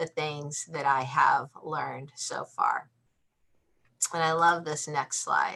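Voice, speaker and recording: A woman is speaking. Her pace is fairly slow. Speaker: cultural intelligence presenter. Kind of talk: webinar presentation.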